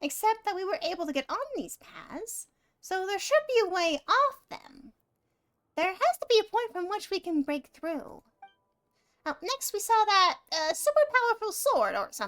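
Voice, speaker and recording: A female-sounding put-on character voice, squeaky and extremely high-pitched, moves at a moderate pace. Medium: game stream. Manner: refers to self in third person, chatty.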